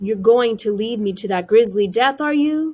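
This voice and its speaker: A quiet woman in a put-on character voice, fairly high in pitch, at a moderate pace. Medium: read story. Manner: quiet, wary.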